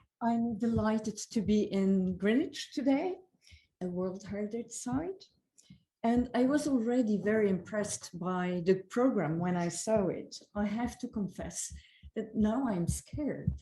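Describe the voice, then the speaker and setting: A woman with a non-native accent speaks at a fairly high pitch. Her tone is dark and mellow and somewhat breathy. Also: ordinary pitch variation, fairly slow pace. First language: not English. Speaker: conference speaker. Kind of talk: conference keynote.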